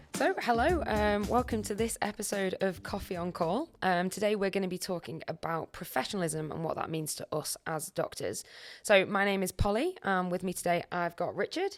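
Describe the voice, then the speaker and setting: A Merseyside accent with ordinary pitch variation and hardly any pauses, on a very clean recording with a silent background. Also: woman, medium pitch for a woman, moderate pace. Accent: Scouse-like Merseyside. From Wirral, Merseyside, England. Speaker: junior doctor, podcast host. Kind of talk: casual podcast chat.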